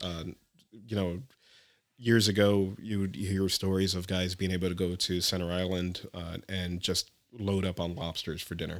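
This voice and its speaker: A man's very deep, low voice in a monotone, flat intonation, at a moderate pace with long, frequent pauses. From New Jersey, Elizabeth. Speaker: scuba instructor. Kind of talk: casual interview.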